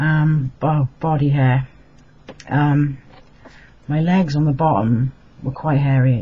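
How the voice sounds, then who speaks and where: A man speaks at a fairly high pitch with a dark, mellow tone. His delivery is monotone and flat, and somewhat breathy. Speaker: vlogger. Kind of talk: casual vlog update. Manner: hesitant, many fillers.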